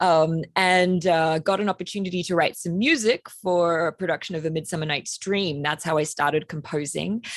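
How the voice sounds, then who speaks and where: A woman talks at a moderate pace and a fairly low pitch, with fairly even intonation. She leaves hardly any pauses, and the background is quiet. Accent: Australian. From Australia. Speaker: composer. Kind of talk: panel discussion.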